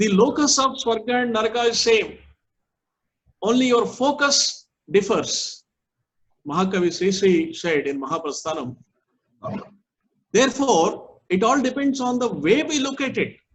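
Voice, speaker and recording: A man with an extremely high pitch swings very widely in pitch, leaving long, frequent pauses. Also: moderate pace. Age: 60s. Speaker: management speaker. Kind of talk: lecture.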